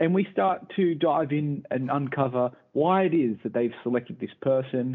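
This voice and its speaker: A man speaks in a normal speaking voice, fairly high for a man, at a moderate pace with lively intonation. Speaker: podcast host. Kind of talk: casual chat.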